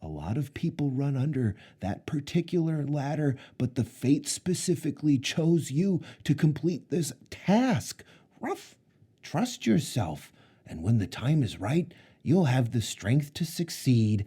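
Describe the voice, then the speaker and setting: A man uses a put-on character voice. He talks at a fairly slow pace. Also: fairly high pitch for a man. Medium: read story. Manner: earnest, urgent.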